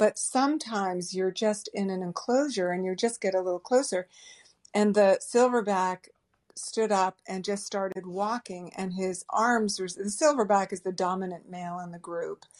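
An ordinary speaking voice with an American accent moves at a moderate pace, its loudness swinging widely while pitch varies normally, recorded dry and close with no echo over a quiet background. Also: woman, medium pitch for a woman. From US Northeast, Boston area. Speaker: travel writer. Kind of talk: interview.

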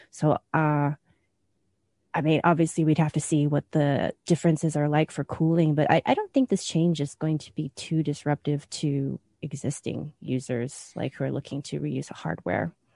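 Recorded with a dry, close sound and no echo, a woman speaks at a very deep, low pitch with a dark, mellow tone. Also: fairly even intonation, moderate pace. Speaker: tech journalist. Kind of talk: casual chat.

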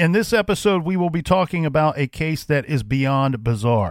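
A man with an ordinary speaking voice talks at a moderate pace, fairly high in pitch with lively intonation. The sound is dry and close with no echo, a very clean recording with a silent background. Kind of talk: true-crime narration. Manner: serious, measured, storytelling tone.

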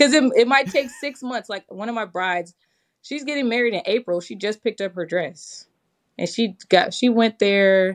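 In an American accent, a woman with an ordinary speaking voice talks at a moderate pace with a fairly high pitch, lively intonation and big swings in loudness. The background is quiet and the sound is dry and close with no echo. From Michigan, Detroit area. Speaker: wedding planner. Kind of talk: podcast interview.

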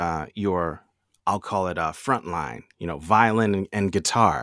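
An ordinary speaking voice at a fairly slow pace with lively intonation, on a very clean recording with a silent background. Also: man. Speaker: radio host. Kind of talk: conversational podcast co-hosting.

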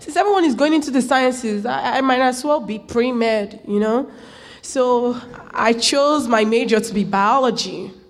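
There is noticeable background noise as a woman speaks at a moderate pace with a high pitch and ordinary pitch variation. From Nigeria, rural area. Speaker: college student. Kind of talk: personal storytelling.

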